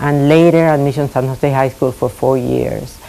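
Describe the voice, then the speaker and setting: With a Spanish accent, a woman with a very deep, low pitch speaks at a moderate pace over noticeable background noise. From Puerto Rico. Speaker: retired school administrator. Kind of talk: oral history interview. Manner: halting, many fillers.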